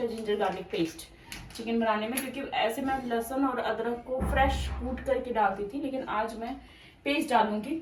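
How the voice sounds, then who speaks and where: A woman speaks fairly slowly at a fairly high pitch. Noticeable background noise and audible room echo fill the recording. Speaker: vlogger. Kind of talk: casual vlog talk. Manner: not speaking loudly.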